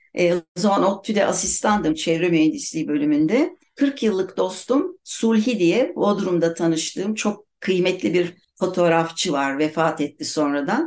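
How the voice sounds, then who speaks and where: In an unremarkable speaking voice, the speaker goes at a fairly slow pace with hardly any pauses, very even loudness and lively intonation. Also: woman, medium pitch for a woman. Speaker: writer. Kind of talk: casual chat.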